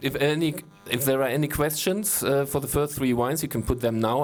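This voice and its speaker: A man with a German accent at a moderate pace, his intonation fairly even. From Germany. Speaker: wine critic. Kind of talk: wine tasting masterclass. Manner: halting.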